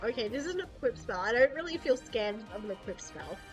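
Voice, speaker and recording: Music plays in the background as a woman talks at a moderate pace. Her pitch is fairly high and swings very widely. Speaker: VTuber. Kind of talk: casual gaming livestream commentary.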